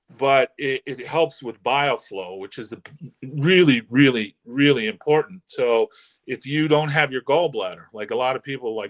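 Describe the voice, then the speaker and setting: In a plain, everyday voice with a fairly high pitch, a man talks at a moderate pace with big swings in loudness, the sound dry and close with no echo. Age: 60s. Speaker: holistic health doctor. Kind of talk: interview explanation.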